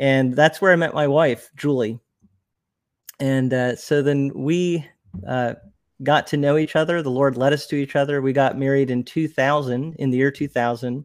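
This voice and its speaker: In an unremarkable speaking voice with an American accent, the speaker keeps a moderate pace and fairly even intonation. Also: man, fairly high pitch for a man. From New Jersey, US. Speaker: YouTuber and ministry worker. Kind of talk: casual interview.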